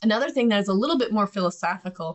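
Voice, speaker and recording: A woman's medium-pitched voice with lively intonation and a Midwestern accent. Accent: Midwest American. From US Midwest. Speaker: podcast host and business owner. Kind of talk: casual instructional podcast talk. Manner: conversational, animated.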